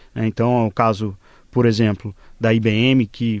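The recording is very clean, with a silent background and a dry, close sound with no echo. A man speaks at medium pitch in a monotone, flat intonation. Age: 20s. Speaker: fintech CEO. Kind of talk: radio panel interview.

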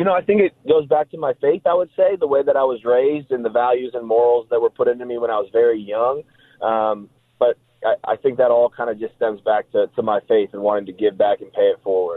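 A man with a Midwestern American accent speaks at a medium pitch with lively intonation. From Nebraska, Omaha. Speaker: professional football player. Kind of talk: casual interview. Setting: phone call.

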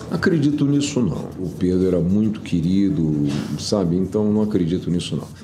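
A man's very deep, low voice at a moderate pace with lively intonation, plus audible room echo and noticeable background noise. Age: 70s. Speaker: former businessman. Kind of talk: interview.

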